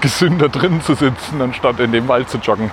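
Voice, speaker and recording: There is clear background noise. Through it, a man talks at a medium pitch. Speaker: podcaster. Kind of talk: solo walking monologue podcast. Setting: outdoors, walking through the city. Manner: casual, slightly halting.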